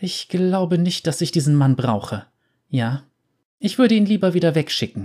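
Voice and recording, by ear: Putting on a shaky character voice pitched high, a man goes at a moderate pace with long, frequent pauses on a very clean recording with a silent background.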